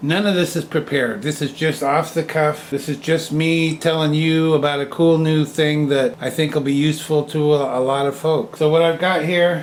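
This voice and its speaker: Over noticeable background noise, a man with an American accent speaks at a moderate pace in a fairly high pitch with hardly any pauses. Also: fairly even intonation. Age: 70s. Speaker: woodturner and hobby channel host. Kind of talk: off-the-cuff product demonstration. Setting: indoors, family room at home. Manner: halting, stammering.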